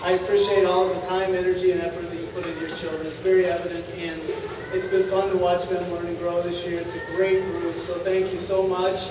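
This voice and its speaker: Amid noticeable background noise and audible room echo, a man with a high pitch speaks in a flat monotone at a fairly quick pace. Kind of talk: welcome speech. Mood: warm, appreciative. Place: hall.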